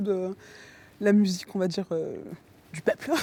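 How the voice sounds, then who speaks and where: On a very clean recording with a silent background, a woman speaks at a moderate pace with a medium pitch and a dark, mellow tone. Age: 30s. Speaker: amateur choir singer, researcher and designer. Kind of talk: interview.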